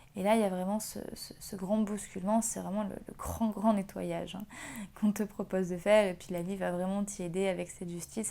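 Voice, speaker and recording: A woman's medium-pitched voice, dark and mellow in tone, at a moderate pace with monotone, flat intonation. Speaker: tarot reader. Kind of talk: tarot reading video. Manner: halting, many fillers.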